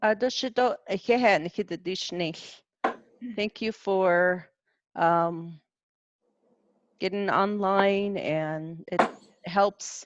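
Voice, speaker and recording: A woman with a Southwestern US accent talks at a very slow pace, with long, frequent pauses, a medium pitch and ordinary pitch variation. The sound is dry and close with no echo, over a quiet background. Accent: Navajo-accented English. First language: Navajo. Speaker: cultural presenter. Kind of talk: online presentation Q&A. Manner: halting.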